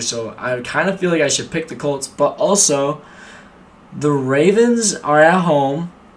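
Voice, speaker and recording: A man with an American accent speaks in an animated tone at a fairly high pitch, with noticeable background noise. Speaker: sports streamer. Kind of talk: live stream sports predictions. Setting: live stream. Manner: casual, animated; loud.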